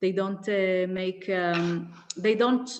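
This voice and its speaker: A woman speaks with an Israeli accent at medium pitch. Her pace is fairly slow. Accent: Hebrew-accented English. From Israel, Haredi community. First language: Hebrew. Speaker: activist. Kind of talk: interview. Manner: halting, many fillers.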